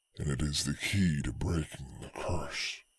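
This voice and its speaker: Delivered at a moderate pace, the put-on character voice sounds gravelly. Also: man, very deep, low pitch for a man. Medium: read story.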